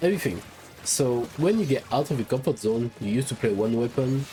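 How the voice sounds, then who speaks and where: A man with a French accent speaks at medium pitch with lively intonation, against noticeable background noise. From France. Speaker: gaming YouTuber. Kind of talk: casual video monologue. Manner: halting.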